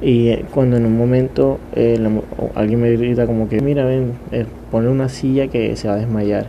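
Noticeable background noise and audible room echo surround the recording. A man talks at a moderate pace and a medium pitch with fairly even intonation. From Colombia, Caribbean coast (Montería). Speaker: podcaster, university student. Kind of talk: casual solo monologue.

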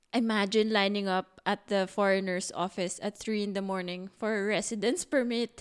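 Speaking with a Filipino accent, a woman with a medium pitch keeps a moderate pace, fairly even intonation and hardly any pauses. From Philippines. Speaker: podcast co-host. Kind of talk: casual chat.

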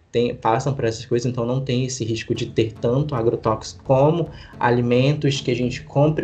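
A man at a medium pitch with ordinary pitch variation, over noticeable background noise. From Brazil, Manaus (Amazonas). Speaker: nutritionist. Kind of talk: casual interview chat.

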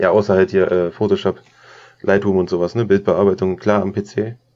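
The voice moves at a moderate pace in a flat monotone. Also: man. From Lower Saxony, Germany (Braunschweig). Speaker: photographer and filmmaker. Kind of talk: casual chat.

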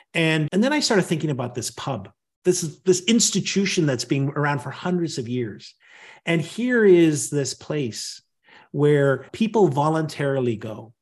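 The voice is somewhat breathy, with lively intonation and a moderate pace. The background is quiet. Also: man, fairly high pitch for a man. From Northern Ireland. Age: 50s. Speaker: leadership communication coach and author. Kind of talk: podcast interview.

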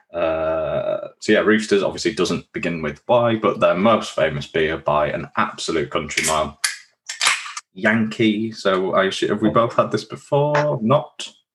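A man with a Yorkshire accent, fairly slow in pace, with lively intonation. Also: fairly low pitch for a man. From Yorkshire, York area. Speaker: beer podcast host. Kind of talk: casual chat.

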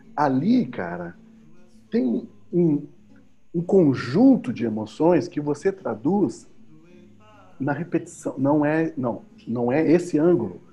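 Over music in the background, a man with a fairly high pitch speaks very slowly, with long, frequent pauses. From southern Brazil, Pelotas, Rio Grande do Sul. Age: 50s. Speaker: musician and educator. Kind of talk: casual interview chat.

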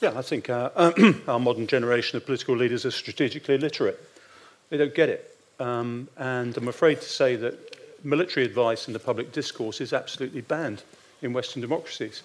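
Speaking very fast, a man uses a British accent. His voice sits at a medium pitch with fairly even intonation. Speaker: retired naval officer and strategic adviser. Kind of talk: panel discussion.

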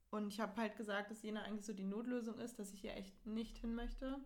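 Very fast and somewhat breathy, a woman speaks at a fairly high pitch with monotone, flat intonation. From northern Germany, near Hamburg. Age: young. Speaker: university student. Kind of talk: casual chat. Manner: laughing often.

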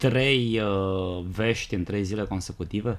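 At a very slow pace, a man speaks with a fairly low pitch and ordinary pitch variation. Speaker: podcast co-host. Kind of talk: casual chat. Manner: stammering at times.

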